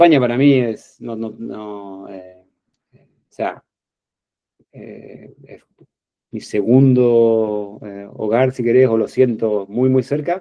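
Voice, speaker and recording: Speaking with an Argentine accent, a man goes at a very slow pace with long, frequent pauses and big swings in loudness. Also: medium pitch for a man, ordinary pitch variation. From Argentina, Buenos Aires province (Bragado). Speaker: interview guest, professional emigrant. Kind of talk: casual interview chat.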